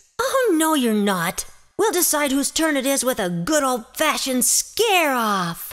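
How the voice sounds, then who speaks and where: A female-sounding, put-on character voice at a high pitch swings very widely in pitch at a moderate pace. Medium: audio drama. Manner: lively, bossy.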